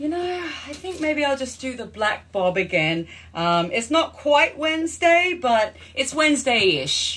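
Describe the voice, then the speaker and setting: Speaking in an Australian accent with hardly any pauses, the voice moves through very wide pitch swings. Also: woman, high pitch for a woman, fairly slow pace. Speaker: actress and filmmaker, livestream host. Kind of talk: casual livestream chat.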